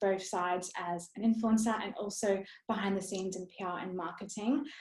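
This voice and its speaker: A woman talks at a fairly quick pace in a somewhat breathy voice with ordinary pitch variation. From Australia. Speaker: influencer and blogger. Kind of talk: webinar presentation. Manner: fast when excited; casual, upbeat.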